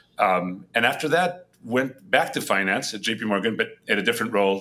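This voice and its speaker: In a very clean recording with a silent background, a man with a Spanish accent speaks at a moderate pace, his fairly low pitch carrying a bright, sharp tone. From Spain, Madrid. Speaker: head of a global entrepreneurship nonprofit. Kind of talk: podcast interview. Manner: hesitant with many fillers and repetitions.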